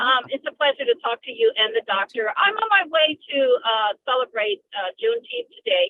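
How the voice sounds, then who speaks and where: Speaking with hardly any pauses at a moderate pace, a woman uses a high pitch with very wide pitch swings. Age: 60s. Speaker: caller. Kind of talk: phone-in comment. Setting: phone call. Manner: hesitant.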